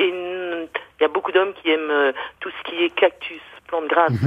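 A woman at a fairly low pitch and fairly slow pace, with noticeable background noise. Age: 50s. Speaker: florist. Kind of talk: radio interview. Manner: hesitant, many fillers.

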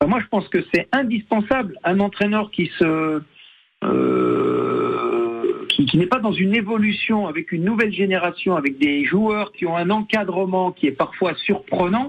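A man speaks at a fairly slow pace, his voice pitched high, with lively intonation. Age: 60s. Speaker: football coach, former pro player. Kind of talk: radio interview.

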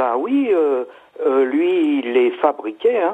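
This man's pitch varies in an ordinary way as he talks at a very slow pace. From Alsace, France. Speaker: caller, luthier enthusiast. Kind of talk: casual phone chat, storytelling. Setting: phone call.

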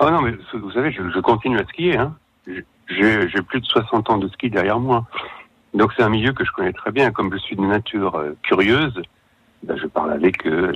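Fairly low in pitch, a man with an unremarkable speaking voice talks at a fairly slow pace. His intonation is lively. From Savoie, France. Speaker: crime novelist. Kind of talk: radio interview.

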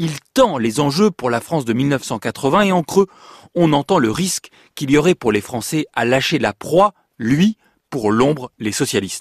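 Against a quiet background, a man with a fairly high pitch talks at a fairly slow pace with very wide pitch swings, in a dry, close sound with no echo. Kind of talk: radio narration introducing and commenting on an archive address. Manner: measured, formal.

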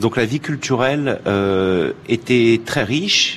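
A man's pitch varies in an ordinary way while noticeable background noise carries through the recording. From Paris, France. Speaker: foreign correspondent journalist. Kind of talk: interview.

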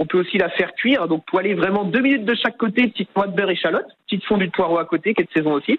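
With a high pitch, a man talks at a very fast pace. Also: ordinary pitch variation. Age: 30s. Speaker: fishmonger. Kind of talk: radio interview.

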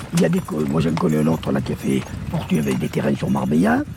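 Noticeable background noise fills the clip. A man talks at a moderate pace. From Corsica. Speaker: horse-drawn carriage dealer, former supermarket owner. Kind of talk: casual interview.

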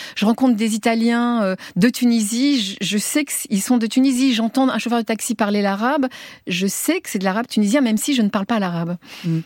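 A woman talks at a moderate pace with a fairly high pitch and ordinary pitch variation. The sound is dry and close, with no echo. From Tunisia (Tunis), raised in France from age 5. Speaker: writer and journalist. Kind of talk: radio interview. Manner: talks with her hands, voluble; halting, many repetitions.

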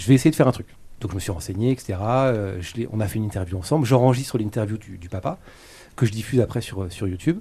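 The voice has a dark, mellow tone, somewhat breathy, with lively intonation and big swings in loudness. Delivery is very fast yet broken by long, frequent pauses, on a very clean recording with a silent background. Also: man, fairly low pitch for a man. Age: 30s. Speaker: YouTuber. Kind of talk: interview. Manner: hesitant.

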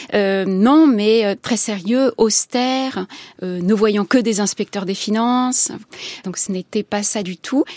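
Speech at a very slow pace with ordinary pitch variation comes through a very clean recording with a silent background and a dry, close sound with no echo. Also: woman. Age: 50s. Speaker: novelist and journalist. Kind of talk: interview. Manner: halting.

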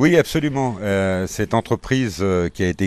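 A man speaks with lively intonation. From Faramans, Isère, France. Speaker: former company head. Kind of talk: interview.

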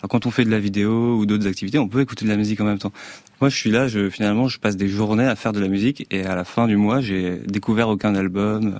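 Fairly low in pitch, a man speaks at a very fast pace. His intonation stays fairly even. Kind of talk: casual interview. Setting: radio studio.

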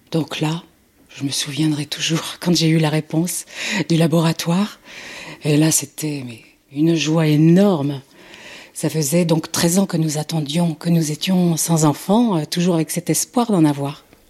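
Through noticeable background noise, a woman with a very deep, low pitch speaks fairly slowly and with fairly even intonation, leaving long, frequent pauses. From Nantes, western France. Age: 60s. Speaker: mother of kidnapped newborn. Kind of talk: testimony.

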